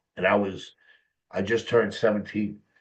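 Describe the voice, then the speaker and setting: This man has an American accent. He speaks at a moderate pace. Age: 50s. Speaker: mental health specialist and author. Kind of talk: personal testimony in interview.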